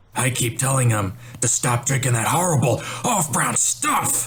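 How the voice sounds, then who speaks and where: A man puts on a character voice, keeping a medium pitch and a moderate speed. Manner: grumbling.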